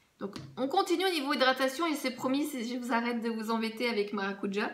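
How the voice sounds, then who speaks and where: Her voice is pitched high. The woman's words carry audible room echo. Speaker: beauty vlogger. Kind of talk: casual product review vlog.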